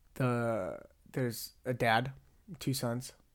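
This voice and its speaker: Recorded very cleanly against a silent background, a man speaks at a medium pitch in a monotone, flat intonation. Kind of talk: casual monologue.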